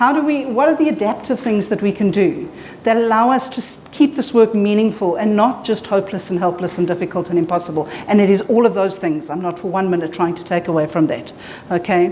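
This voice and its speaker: A woman at medium pitch with lively intonation and a fairly quick pace, amid audible room echo and noticeable background noise. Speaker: clinical psychologist presenter. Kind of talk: conference presentation. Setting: conference room with audience. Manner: loud; animated.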